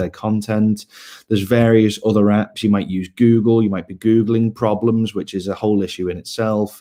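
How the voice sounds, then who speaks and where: Dark, mellow tone with monotone, flat intonation at a fairly quick pace. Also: man. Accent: Liverpool. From northern England, Liverpool. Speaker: health tech startup co-founder. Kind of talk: pitch presentation.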